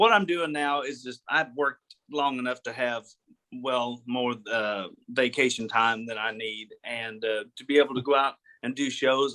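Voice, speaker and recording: In an American accent, a man talks at a moderate pace with a medium pitch and a bright, sharp tone. The recording is dry and close, with no echo. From northwest Arkansas (Gravette). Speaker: country musician and officer. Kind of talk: casual interview.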